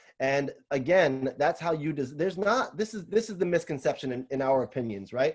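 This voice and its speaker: A man's fairly quick, fairly high voice with lively intonation, in a New York accent. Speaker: salon owner and business consultant. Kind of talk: webinar Q&A. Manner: fast.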